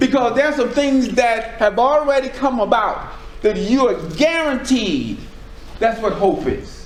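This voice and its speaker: A loud man with an American accent speaks at a fairly slow pace with lively intonation. Audible room echo and noticeable background noise surround him. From US South, Charleston, South Carolina. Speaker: preacher. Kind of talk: sermon. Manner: halting.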